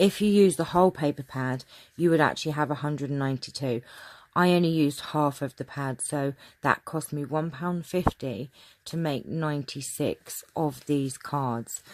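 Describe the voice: A woman speaks at a moderate pace with a low pitch and ordinary pitch variation. Her tone is slightly mellow.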